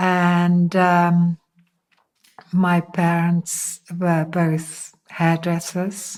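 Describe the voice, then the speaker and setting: Her voice is fairly low for a woman, and her intonation is monotone and flat. She speaks at a very slow pace. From Netherlands. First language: Dutch. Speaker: interviewee sharing faith testimony. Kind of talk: testimony. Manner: hesitant, many fillers.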